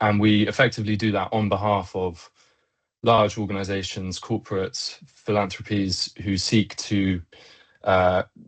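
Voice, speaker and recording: In a British accent, a man speaks at a fairly low pitch and a moderate pace. His intonation is monotone and flat. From Britain. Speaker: engineer and company co-founder. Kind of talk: web chat presentation. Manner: many filler words.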